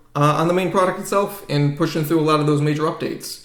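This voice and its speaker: A man with a slight New England accent speaks in a high pitch with fairly even intonation, and audible room echo surrounds him. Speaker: software developer and business founder. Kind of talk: podcast interview. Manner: casual, many fillers.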